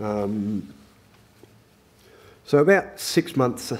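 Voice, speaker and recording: A man with an Australian accent, medium in pitch, with lively intonation. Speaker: head and neck cancer survivor. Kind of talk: testimony. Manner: halting, many fillers; talkative.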